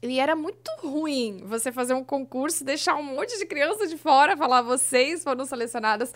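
A high-pitched woman at a moderate pace, lively in intonation with hardly any pauses. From southern Brazil, Blumenau (Santa Catarina). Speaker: former children's TV presenter. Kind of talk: casual interview chat. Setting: studio.

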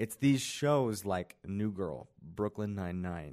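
A man with an American accent uses an ordinary speaking voice at a fairly low pitch. He goes at a fairly slow pace on a very clean recording with a silent background. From Kansas City, US Midwest. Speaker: student podcast host. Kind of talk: casual chat. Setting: library room.

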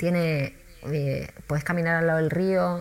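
The speaker has an Argentine accent and talks at a fairly slow pace with ordinary pitch variation. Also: woman. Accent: Rioplatense Argentine Spanish. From Argentina, Buenos Aires. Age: 40s. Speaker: tour guide. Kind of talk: interview.

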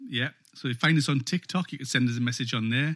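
An unremarkable speaking voice belongs to this man, who talks at a fairly quick pace with medium pitch and fairly even intonation. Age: 40s. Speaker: podcast host and guitarist. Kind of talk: casual chat.

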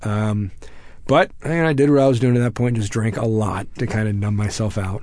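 The speaker talks at a moderate pace with ordinary pitch variation and an American accent. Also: man, fairly low pitch for a man. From Texas. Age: 30s. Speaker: military veteran. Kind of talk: interview.

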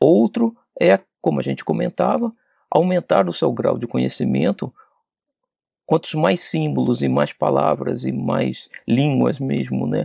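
Man at a fairly slow pace with long, frequent pauses. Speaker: spiritist study leader. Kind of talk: lecture. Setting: radio/TV broadcast studio.

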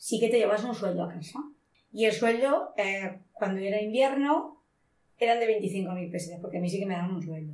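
Somewhat breathy, a woman talks at a medium pitch and a moderate pace with lively intonation. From Spain, Monóvar, inland Alicante (Valencia region). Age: 50s. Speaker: shoe factory worker. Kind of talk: interview testimony.

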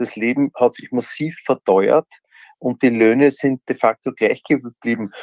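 In an ordinary speaking voice, a man talks at medium pitch and a fairly slow pace with fairly even intonation. His loudness swings widely, and the sound is dry and close with no echo. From Austria (Upper Austria). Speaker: former politician. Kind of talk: interview.

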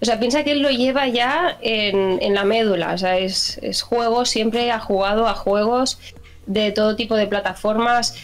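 A woman speaks at a fairly slow pace and a fairly high pitch, with ordinary pitch variation and very even loudness. Noticeable background noise sits behind her. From Spain, Barcelona. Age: 30s. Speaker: gaming channel contributor. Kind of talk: casual interview.

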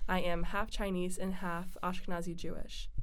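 With audible room echo, a woman speaks at a moderate pace and medium pitch, her intonation fairly even. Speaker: college podcast host. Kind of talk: casual chat.

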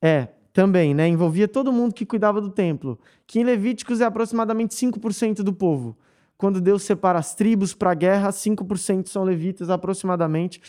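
With a dark, mellow tone and a high pitch, a man speaks at a moderate pace with ordinary pitch variation, in a very clean recording with a silent background. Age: 20s. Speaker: worship leader, pastor's son. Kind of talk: casual chat.

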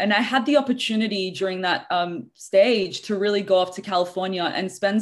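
A woman talks at a fairly quick pace with an Australian accent. Her pitch sits in the medium range. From Australia (Sydney). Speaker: leadership coach. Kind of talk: interview. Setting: video call.

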